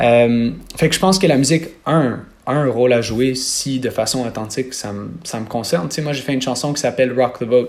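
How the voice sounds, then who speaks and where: At a moderate pace, a man uses a normal speaking voice at a medium pitch with ordinary pitch variation. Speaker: singer. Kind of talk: interview.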